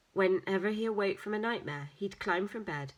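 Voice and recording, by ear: Intonation stays fairly even as the speaker reads aloud in a natural voice.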